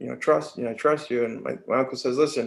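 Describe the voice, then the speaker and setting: Vocal fry marks a man's medium-pitched voice as he talks at a very fast pace with ordinary pitch variation. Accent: American. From New York, Mohawk Valley upstate. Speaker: army veteran. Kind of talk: casual interview storytelling.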